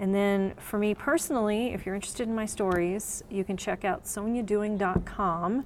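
A normal speaking voice with an American accent moves at a moderate pace with fairly even intonation. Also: woman, medium pitch for a woman. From Texas. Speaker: writer and business founder. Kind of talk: interview. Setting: on location in a coworking space.

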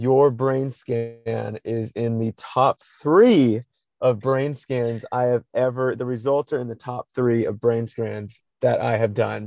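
In a dry, close sound with no echo, a man with a medium pitch and a dark, mellow tone talks at a very slow pace with fairly even intonation. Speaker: podcast host, nonprofit co-founder. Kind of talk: casual chat. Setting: in a car in a parking lot, remote recording. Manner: loud.

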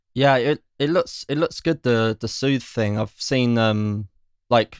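The recording is very clean, with a silent background and a dry, close sound with no echo. A plain, everyday voice speaks at a fairly slow pace. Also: man. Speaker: music industry guest. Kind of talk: casual chat.

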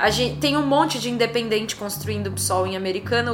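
A woman talking at a fairly quick pace, with audible room echo and noticeable background noise. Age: 30s. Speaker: lawyer and left-wing political activist. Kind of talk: casual interview.

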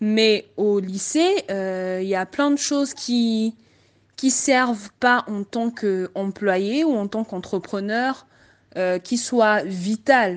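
A woman speaks at a very slow pace with a fairly high pitch and ordinary pitch variation. The background is quiet. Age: 20s. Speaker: information systems engineer. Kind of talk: group discussion.

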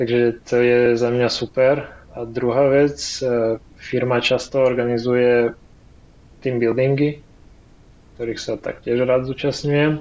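A man speaks slowly at a medium pitch in a flat monotone. His pauses are long and come often. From Ukraine. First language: Ukrainian (speaking Slovak). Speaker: frontend developer. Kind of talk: interview.

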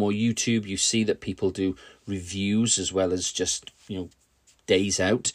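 A man talks fairly slowly at a fairly low pitch in a monotone, flat intonation. The recording is very clean, with a silent background. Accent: British. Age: 50s. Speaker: podcaster and hobby YouTuber. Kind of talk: casual solo podcast monologue.

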